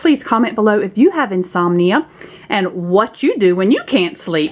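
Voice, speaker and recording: Using a Southern US accent, a woman talks at a fairly slow pace and a medium pitch with lively intonation. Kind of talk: casual talk to camera.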